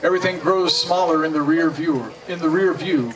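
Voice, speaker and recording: Noticeable background noise sits behind a man with a high pitch. He speaks at a moderate pace in an animated, playful tone. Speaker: poet performing at a party. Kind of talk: poetry performance, read aloud with playful delivery. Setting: party with audience, microphone sound check. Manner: animated, playful, comic. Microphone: camera far.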